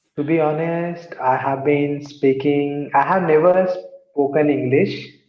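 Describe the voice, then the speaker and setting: Against audible room echo, a man speaks fairly slowly at a fairly high pitch in a monotone, flat way. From India, Mumbai. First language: an Indian language. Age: 30s. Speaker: English learner, call center team leader. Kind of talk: online English practice conversation. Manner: halting.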